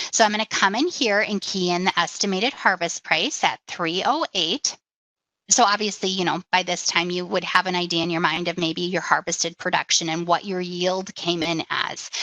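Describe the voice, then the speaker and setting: A woman's fairly low voice, bright and sharp in tone, at a moderate pace with fairly even intonation and a dry, close sound with no echo. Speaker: insurance company executive giving a software demo. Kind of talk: webinar tutorial. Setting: webinar screen share.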